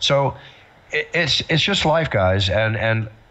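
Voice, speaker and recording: A plain, everyday voice with lively intonation. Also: man. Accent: American. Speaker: ring announcer. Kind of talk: interview answer.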